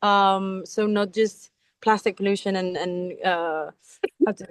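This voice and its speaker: In a Spanish accent, a woman speaks at a fairly slow pace, the sound dry and close with no echo. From Spain, Mallorca. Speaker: sea turtle biologist. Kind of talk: educational talk in online class. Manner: halting, searching for words.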